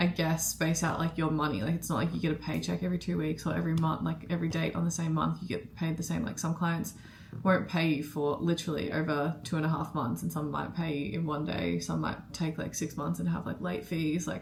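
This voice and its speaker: A woman with an Australian accent speaks at a fairly quick pace, with hardly any pauses. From Australia, Melbourne. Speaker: vlogger and freelance marketer. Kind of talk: casual vlog talk to camera. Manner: casual, filler-heavy.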